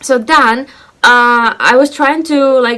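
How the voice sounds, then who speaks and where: A woman speaks in a Russian accent. Her pitch is high. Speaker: lifestyle vlogger. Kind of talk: casual vlog monologue. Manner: animated.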